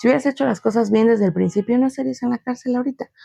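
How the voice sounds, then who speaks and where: In a dry, close sound with no echo, a woman talks very fast at a fairly high pitch with ordinary pitch variation. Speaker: podcast host. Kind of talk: solo podcast monologue. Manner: casual.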